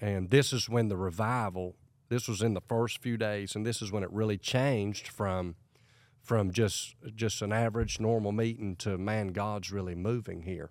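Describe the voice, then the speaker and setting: On a very clean recording with a silent background, a man with an ordinary speaking voice and an American accent talks at a moderate pace, with a fairly low pitch and fairly even intonation. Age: 40s. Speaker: evangelist. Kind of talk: casual interview chat.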